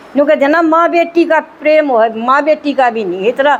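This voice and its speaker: A woman's voice over noticeable background noise. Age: 60s. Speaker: spiritual group member sharing experience. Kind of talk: testimony. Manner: animated.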